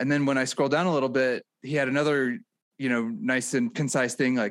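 In a very clean recording with a silent background, a man talks at medium pitch. He uses a normal speaking voice with ordinary pitch variation. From rural Missouri near St. Louis. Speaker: political podcast co-host. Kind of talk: casual political chat.

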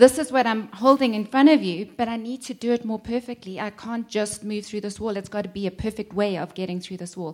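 In a normal speaking voice, a woman talks at a fairly quick pace with hardly any pauses, a fairly high pitch, ordinary pitch variation and big swings in loudness. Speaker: teacher of enneagram.

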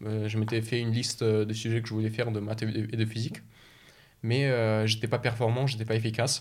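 At a fairly quick pace, a man speaks at a medium pitch with flat, monotone intonation. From Russia (Moscow, Chechen family), moved to France at 12. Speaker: engineering student. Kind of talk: interview.

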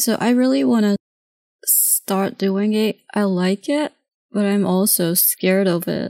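A woman's dark, mellow, medium-pitched voice with a Japanese accent, fairly slow with long, frequent pauses, ordinary pitch variation and very even loudness, in a dry, close recording with no echo. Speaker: comic artist and painter. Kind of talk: casual interview conversation.

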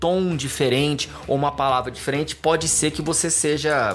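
A fairly high-pitched man at a moderate pace, over noticeable background noise. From Goiânia, Brazil. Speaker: podcast host. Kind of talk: casual interview.

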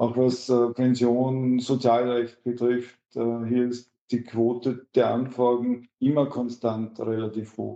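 The man's voice sits at a medium pitch with a dark, mellow tone and monotone, flat intonation. He speaks at a very slow pace with hardly any pauses. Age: 40s. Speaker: trade union official. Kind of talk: interview.

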